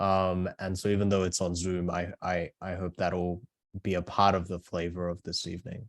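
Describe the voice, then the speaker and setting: In a dry, close sound with no echo, a man with an Australian accent speaks at a moderate pace, his very deep, low pitch carrying a monotone, flat intonation. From Australia (moved from South Korea at eight). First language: Korean. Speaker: author. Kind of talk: book talk. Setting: video call.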